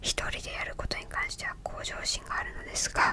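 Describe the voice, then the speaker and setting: Whispering and soft-spoken at a moderate pace, the voice sounds dry with no echo over noticeable background noise. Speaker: video creator. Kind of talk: calm reflective talk going through a personality list. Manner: soft close-mic whisper. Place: home room. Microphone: studio mic.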